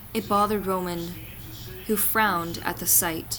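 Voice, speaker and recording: A woman talks at a fairly slow pace in a normal speaking voice with medium pitch. Her intonation stays fairly even. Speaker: fanfiction reader. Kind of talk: fanfiction reading.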